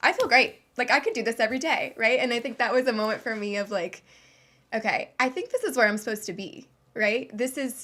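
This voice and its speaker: Recorded very cleanly against a silent background, this voice with a Midwestern accent talks at a very fast pace. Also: woman, high pitch for a woman, ordinary pitch variation. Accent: General American (Midwest). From Ohio, US. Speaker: professional dancer. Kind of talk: interview.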